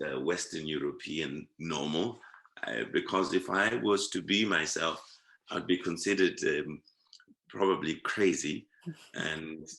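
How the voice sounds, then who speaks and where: A man's very deep, low voice with vocal fry and a bright, sharp tone, ordinary pitch variation and a fairly slow pace. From Zimbabwe. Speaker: performing artist and social activist. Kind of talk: interview answer.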